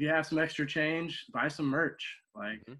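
With an American accent, a man speaks at a fairly quick pace in a normal speaking voice with a fairly high pitch, on a very clean recording with a silent background. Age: 30s. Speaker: professional wrestler. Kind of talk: interview.

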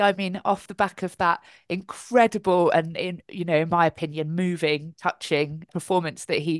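Close and dry with no echo, a woman speaks at a moderate pace. Her tone is enthusiastic and her pitch medium. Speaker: charity advocacy manager and occupational therapist. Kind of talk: panel discussion. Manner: articulate, enthusiastic.

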